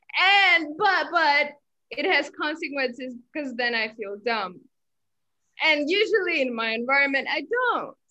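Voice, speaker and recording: Speaking in a raised, projected voice at a fairly slow pace, a woman with a high pitch and a bright, sharp tone makes very wide pitch swings. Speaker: university student. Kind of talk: casual chat. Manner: halting.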